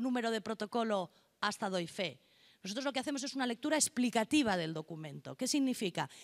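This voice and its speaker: Lively intonation marks this woman's voice at a fairly quick pace. The recording is very clean, with a silent background. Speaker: notary, conference speaker. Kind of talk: conference lecture. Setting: conference hall with interpreters. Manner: fast.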